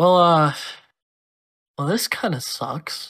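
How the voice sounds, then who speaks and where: Putting on a character voice, a man sounds raspy and high in pitch. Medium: cartoon. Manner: deadpan, irritable, then mock-villainous.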